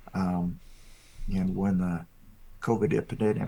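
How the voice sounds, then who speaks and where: Fairly slow pace and a dark, mellow tone. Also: man. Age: 60s. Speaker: farmer. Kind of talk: interview. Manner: halting, many fillers.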